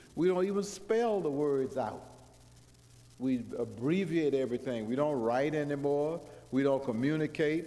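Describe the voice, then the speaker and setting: The man's fairly high voice carries a dark, mellow tone at a moderate pace. Room echo is audible. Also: ordinary pitch variation. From US South, Georgia. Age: 70s. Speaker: guest preacher. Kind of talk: sermon. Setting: church.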